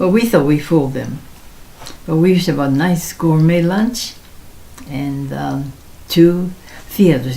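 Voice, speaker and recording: Speaking with an American accent, a woman talks at a fairly slow pace with a fairly low pitch and ordinary pitch variation. The recording has audible room echo and noticeable background noise. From Seattle, then Japan. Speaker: elderly interviewee sharing life story. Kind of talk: oral history interview. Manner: halting, with many fillers.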